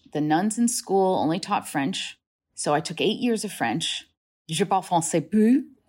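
A woman with a General American accent at a medium pitch and moderate pace, on a very clean recording with a silent background. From New Hampshire, US, Dominican family. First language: Spanish. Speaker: journalist and author. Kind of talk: interview.

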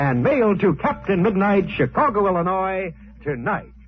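A man sounds enthusiastic, his pitch swinging very widely. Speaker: radio announcer and narrator. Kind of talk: old-time radio serial narration and sponsor pitch. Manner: brisk, hearty, enthusiastic salesman-style delivery; dramatic, urgent narration.

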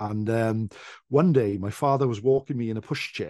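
With a South Welsh accent, a man speaks at a moderate pace in a fairly low, dark and mellow voice with ordinary pitch variation, the sound dry and close with no echo and the background quiet. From South Wales. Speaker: traditional storyteller. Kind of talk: casual chat. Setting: video call.

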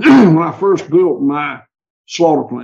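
A man speaks with a Southern US accent and ordinary pitch variation. His dark, mellow voice carries vocal fry.

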